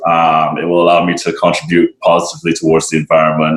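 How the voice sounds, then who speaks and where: Very deep and low in pitch, a man's voice is heard. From Barbados. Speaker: sustainability advocate and restaurant worker. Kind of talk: podcast interview.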